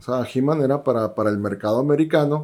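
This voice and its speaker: A man talks in a fairly high pitch. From Sonora, Mexico (Guaymas). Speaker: action figure collector and teacher. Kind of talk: casual chat.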